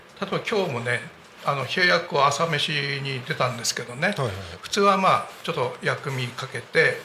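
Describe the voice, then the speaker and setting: Over noticeable background noise, a man talks at a fairly quick pace with a fairly high pitch, lively intonation and big swings in loudness. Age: 70s. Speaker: amateur flutist. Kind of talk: casual chat.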